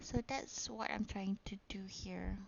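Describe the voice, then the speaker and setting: The speaker has a Malaysian accent. The pace is very slow. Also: woman. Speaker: gaming YouTuber. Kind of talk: casual gameplay narration. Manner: hesitant, many fillers.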